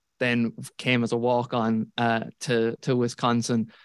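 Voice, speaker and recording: This man speaks in a Kerry accent at a medium pitch, monotone and flat in intonation. The recording is very clean, with a silent background. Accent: Kerry Irish. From Ireland, Tralee, County Kerry. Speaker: college football analyst. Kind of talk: casual chat.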